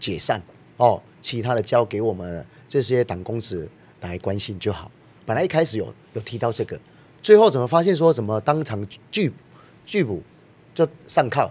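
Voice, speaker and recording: Using very wide pitch swings, a man at medium pitch speaks at a moderate pace with long, frequent pauses. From Taiwan. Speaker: political party member; council guest. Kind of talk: political talk show discussion. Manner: animated. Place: studio. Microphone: studio mic.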